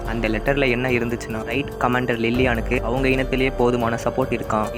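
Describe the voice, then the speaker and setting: Over music in the background, a man speaks in a monotone, flat delivery at a very even loudness. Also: medium pitch for a man. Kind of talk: manga chapter explanation narration. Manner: casual.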